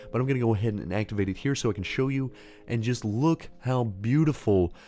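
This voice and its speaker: With music in the background, a man speaks at a fairly quick pace. His pitch is fairly low and varies in an ordinary way. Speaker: gaming YouTuber. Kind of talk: gameplay commentary.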